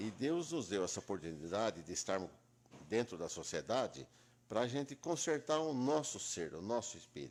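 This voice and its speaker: Vocal fry runs through a man's medium-pitched voice as he speaks at a moderate pace with very wide pitch swings. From Brazil, Itápolis, São Paulo state. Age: 70s. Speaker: lawyer. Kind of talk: interview.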